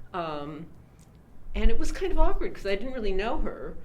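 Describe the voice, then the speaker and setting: A woman talks at a fairly quick pace with very wide pitch swings, while noticeable background noise and audible room echo fill the recording. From US Midwest, Chicago area. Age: 70s. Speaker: artist. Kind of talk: oral history interview.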